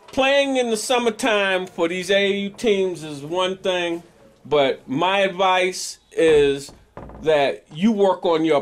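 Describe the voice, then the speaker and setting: Speaking at a very slow pace, a man uses lively intonation at a high pitch. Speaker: sports interviewer. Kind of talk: interview questions and advice. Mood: friendly, joking then serious. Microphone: phone near.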